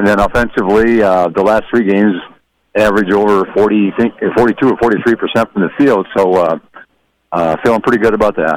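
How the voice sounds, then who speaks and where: A man's ordinary speaking voice at a moderate pace, with fairly even intonation and very even loudness. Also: fairly low pitch for a man. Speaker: basketball head coach. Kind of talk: pregame interview. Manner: relaxed, folksy, joking.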